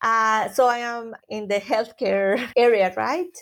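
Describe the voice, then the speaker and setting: Heard on a very clean recording with a silent background, a woman with a Spanish accent speaks very slowly at a fairly high pitch. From Colombia. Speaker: occupational therapy professor. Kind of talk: interview.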